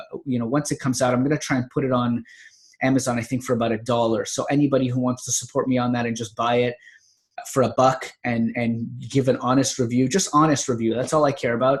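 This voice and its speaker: At a very fast pace, a man with a medium pitch talks in a monotone, flat way, sounding somewhat breathy. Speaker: natural health author and podcaster. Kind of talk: casual vlog monologue. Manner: long run-on sentences; halting with fillers.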